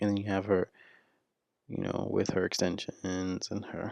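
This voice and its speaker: Whispering at a fairly slow pace. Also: man. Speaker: video blogger. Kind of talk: solo commentary. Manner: halting.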